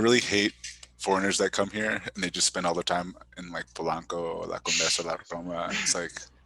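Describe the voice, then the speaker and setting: A man with an American accent speaks at a fairly quick pace in a very deep, low voice, his monotone, flat delivery captured dry and close with no echo over noticeable background noise. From New York. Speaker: stand-up comedian. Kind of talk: casual chat.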